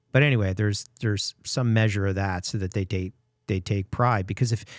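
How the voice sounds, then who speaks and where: A man speaks in a plain, everyday voice, fairly low in pitch and fairly quick. His intonation stays fairly even over a very clean recording with a silent background. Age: 60s. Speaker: podcast host, business owner. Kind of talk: casual interview chat.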